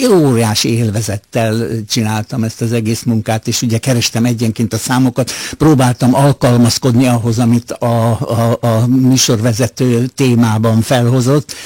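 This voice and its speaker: Speaking at a fairly slow pace and medium pitch, a man keeps a monotone, flat intonation in a dry, close sound with no echo, with noticeable background noise behind him. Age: 80s+. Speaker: retired radio music editor. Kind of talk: radio interview. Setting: radio studio. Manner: halting, with fillers.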